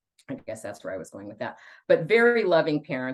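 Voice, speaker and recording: A woman with an American accent talks at a very fast pace. The background is quiet. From California Central Coast (Santa Cruz). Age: 60s. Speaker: fitness program member. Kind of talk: interview.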